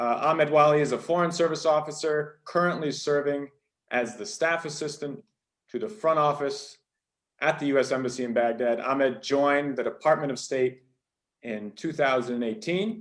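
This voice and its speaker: Pitched fairly high, a man speaks at a moderate pace. His pitch varies in an ordinary way. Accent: American. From New Hampshire, US. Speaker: event host. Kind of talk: formal introduction. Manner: formal.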